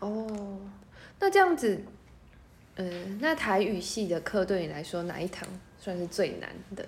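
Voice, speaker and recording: With big swings in loudness and long, frequent pauses, a woman speaks at a fairly slow pace with ordinary pitch variation over noticeable background noise. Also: medium pitch for a woman. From Taiwan, Miaoli, Hakka. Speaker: podcast host. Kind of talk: casual interview.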